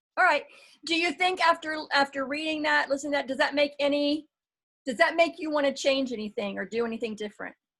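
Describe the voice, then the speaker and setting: A woman talks loudly at a very fast pace in a high pitch. Her tone is bright and sharp, with ordinary pitch variation. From Florida. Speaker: network marketing team leader and coach. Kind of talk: casual group meeting chat.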